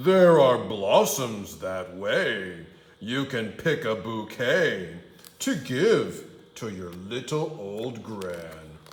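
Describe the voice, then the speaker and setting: A put-on character voice at a very slow pace. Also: man, medium pitch for a man. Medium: read story. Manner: sly, wheedling when disguised.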